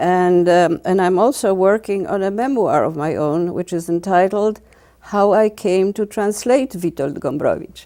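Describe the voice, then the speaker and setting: A woman talks at a moderate pace with a medium pitch, ordinary pitch variation and a dark, mellow tone. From Poland (Vilnius region). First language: Polish. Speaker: literary translator. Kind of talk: interview. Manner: halting.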